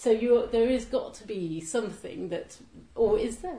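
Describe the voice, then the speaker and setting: With lively intonation and a fairly high pitch, a woman speaks at a moderate pace in an ordinary speaking voice. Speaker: poetry event host interviewer. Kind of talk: interview chat. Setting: live event with audience.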